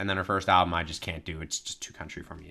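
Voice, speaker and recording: This man's voice has a bright, sharp tone. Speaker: podcast co-host. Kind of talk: casual chat. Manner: fast.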